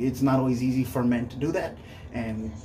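Faint music plays in the background. Over it, a man talks at a fairly quick pace. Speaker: YouTuber. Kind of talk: casual vlog commentary. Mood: earnest, conversational. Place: bathroom. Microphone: phone near.

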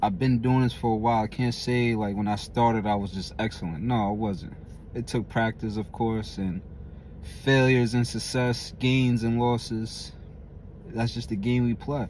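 A man's medium-pitched voice at a moderate pace, fairly even intonation, dry sound with no echo, and light background noise. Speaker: gym motivational vlogger. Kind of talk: gym pep talk, motivational monologue to camera. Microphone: phone near.

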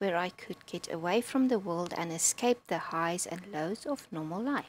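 A woman talks at a fairly slow pace with a non-native accent. Her intonation is lively. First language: not English. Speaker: gaming video creator. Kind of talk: gameplay commentary. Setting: home recording with loud keyboard. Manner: casual, chatty.

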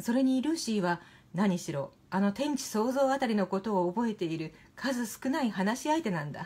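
This woman's voice has very wide pitch swings, a calm, soothing tone, a dark, mellow quality and a somewhat breathy edge. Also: moderate pace. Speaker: narrator. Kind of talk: literary reading. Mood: calm, gentle, soothing. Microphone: phone near.

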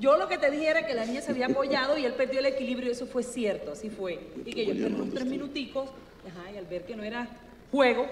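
Speaking very fast in a coastal Colombian accent, a woman with a high voice and ordinary pitch variation swings widely in loudness, with audible room echo and light background noise. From Colombian Caribbean coast. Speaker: candidate's spouse; candidate. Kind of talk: casual chat. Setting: stage with audience. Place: studio. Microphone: handheld.

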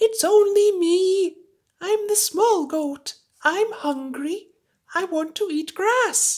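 A woman does a cartoonish character voice at an extremely high pitch, speaking very slowly. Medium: puppet.

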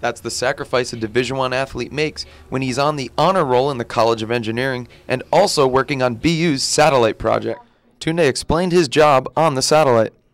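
Here is a man with a plain, everyday voice. His medium pitch shows ordinary pitch variation. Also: fairly quick pace. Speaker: sports broadcaster, anchor and reporter. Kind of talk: TV sports news reporting.

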